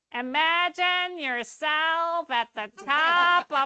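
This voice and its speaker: A woman does a put-on character voice, nasal and extremely high in pitch. She speaks at a very slow pace. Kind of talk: guided-meditation instruction.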